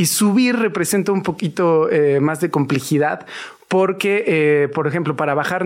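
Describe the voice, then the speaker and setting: Here a man has an unremarkable speaking voice, talking at a moderate pace with ordinary pitch variation. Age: 40s. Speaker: fitness trainer. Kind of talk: casual interview.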